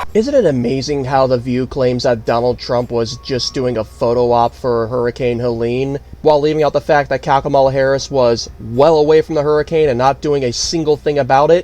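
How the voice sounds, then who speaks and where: Over music in the background, a man talks at a fairly quick pace with hardly any pauses, a medium pitch and fairly even intonation. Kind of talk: political news commentary.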